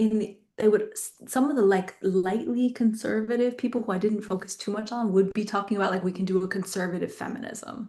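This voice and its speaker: A woman with an American accent speaks at a fairly quick pace in a fairly high pitch, her voice somewhat breathy with a dark, mellow tone and fairly even intonation. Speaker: academic researcher. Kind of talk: academic Q&A. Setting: video webinar. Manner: casual, filler-heavy.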